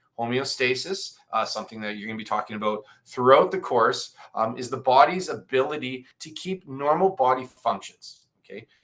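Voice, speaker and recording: A man speaks at medium pitch. His pitch varies in an ordinary way. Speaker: high school biology teacher. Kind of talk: lecture. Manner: fast; halting, many fillers.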